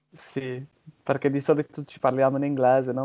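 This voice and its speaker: This man has a medium pitch and monotone, flat intonation, talking at a fairly quick pace. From southern England, Bournemouth. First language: English (speaking Italian). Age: 20s. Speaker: podcast host, language learner. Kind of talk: casual conversation in Italian. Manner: halting, hesitant.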